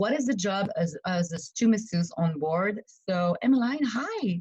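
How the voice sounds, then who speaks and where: At a moderate pace and medium pitch, a woman speaks in a dark, mellow, somewhat breathy voice with lively intonation. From Quebec, Montreal. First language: French. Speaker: yacht stewardess and massage therapist. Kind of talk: interview.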